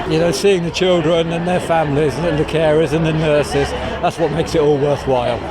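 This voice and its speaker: A man's voice at a fairly quick pace, with fairly even intonation and very even loudness, amid noticeable background noise and audible room echo. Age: 60s. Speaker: charity marathon runner. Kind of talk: interview.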